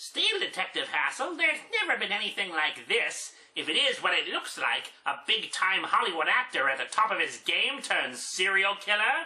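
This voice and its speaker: A female-sounding voice does a put-on character voice, fairly high in pitch. The pace is moderate, with hardly any pauses. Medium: solo performance.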